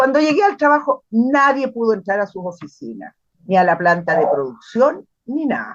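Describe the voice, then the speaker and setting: Her pitch swinging very widely, a woman speaks at a moderate speed. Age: 70s. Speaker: retired literature teacher. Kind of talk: testimony. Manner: halting, with repetitions.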